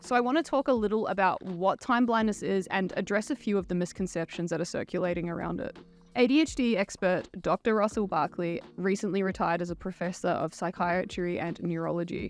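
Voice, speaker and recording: Over music in the background, a woman with an Australian accent talks at a fairly quick pace, her medium pitch showing ordinary variation. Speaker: YouTuber commenting on neurodiversity. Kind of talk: commentary video monologue.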